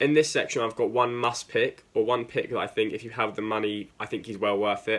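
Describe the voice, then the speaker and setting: A fairly quick pace in an English accent. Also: man. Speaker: football video host. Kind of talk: casual talk to camera. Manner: casual, lots of fillers.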